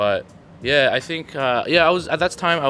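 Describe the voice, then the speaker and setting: A fairly quick speaking pace runs over music playing in the background. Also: man. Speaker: photographer and university student. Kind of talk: casual group discussion.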